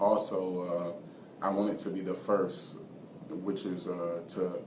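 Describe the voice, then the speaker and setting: Over noticeable background noise and audible room echo, a man with an American accent speaks in a very deep, low, monotone, flat voice. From US, Washington DC and Georgia. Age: 20s. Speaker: basketball coach and student. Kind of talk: interview. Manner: soft-spoken; halting, many fillers.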